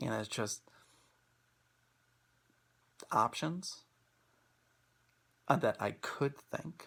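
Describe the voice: A man's very slow delivery, with a fairly bright tone and vocal fry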